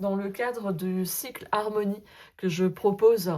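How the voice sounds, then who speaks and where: The woman's delivery is fairly slow, pitched in the medium range. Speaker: sophrologist and tarot content creator. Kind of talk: casual vlog monologue. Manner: hesitant, many fillers.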